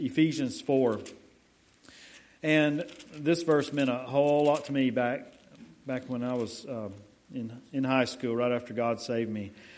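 With audible room echo, a man at medium pitch speaks at a fairly slow pace with fairly even intonation and long, frequent pauses. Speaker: pastor. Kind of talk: sermon. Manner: quiet.

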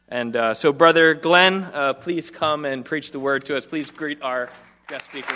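A man speaks at a fairly slow pace with a fairly high pitch. Crowd noise fills the background. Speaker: church leader introducing guest. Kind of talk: formal introduction. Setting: church.

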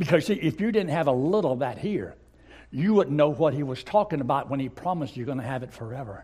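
A man talks at a very fast pace. His voice is somewhat breathy, with a dark, mellow tone. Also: lively intonation. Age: 80s+. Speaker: visiting pastor. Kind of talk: sermon. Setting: church.

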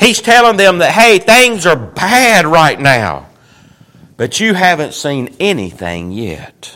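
Slow to a great degree, a man with a Southern US accent talks in a high voice through very wide pitch swings. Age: 50s. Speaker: pastor. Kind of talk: sermon.

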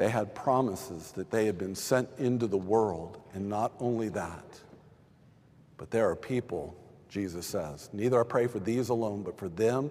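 Speaking with an American accent in a normal speaking voice, a man keeps a fairly low pitch and a fairly slow pace, with ordinary pitch variation. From Texas. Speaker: pastor. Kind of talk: sermon.

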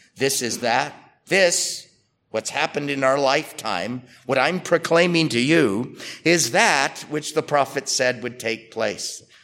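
This man uses a plain, everyday voice with ordinary pitch variation and a moderate pace. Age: 60s. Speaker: pastor. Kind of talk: sermon.

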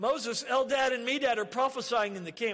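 Using a put-on character voice, a man whines in a whiny tone at an extremely high pitch and a fairly quick pace. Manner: whiny, tattling.

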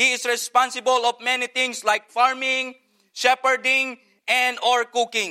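In a raised, projected voice, a man speaks at a moderate pace with an extremely high pitch and a bright, sharp tone, the sound dry and close with no echo. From Philippines. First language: Filipino language. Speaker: missionary pastor. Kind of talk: sermon. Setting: church.

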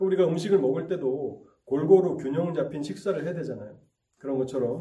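The voice is somewhat breathy with a dark, mellow tone and lively intonation. It moves at a fairly quick pace, with audible room echo. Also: man. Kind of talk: sermon.

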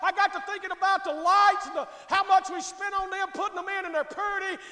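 In an American accent, a man with an extremely high pitch speaks in a raised, projected voice with a bright, sharp tone at a fairly quick pace. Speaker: pastor. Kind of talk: sermon. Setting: church.

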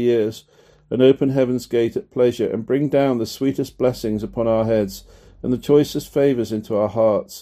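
A man speaks at a medium pitch with a dark, mellow tone and fairly even intonation. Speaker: audiobook reader. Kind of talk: reading aloud a Puritan book in sermonic style, solemn and earnest, like a preached text. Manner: measured, formal, steady and deliberate, with weight on vivid imagery.

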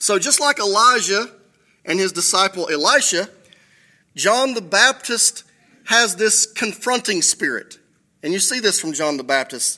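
Raised and projected, a man's high-pitched voice with a bright, sharp tone moves at a fairly slow pace, with long, frequent pauses. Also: lively intonation. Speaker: pastor. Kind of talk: sermon. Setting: church. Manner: self-deprecating, humorous.

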